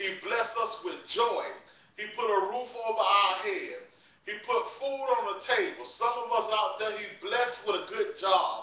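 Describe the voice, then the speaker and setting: A man speaks in a raised, projected voice at a fairly slow pace. Audible room echo surrounds him. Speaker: preacher. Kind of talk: sermon. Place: home room. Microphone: phone near.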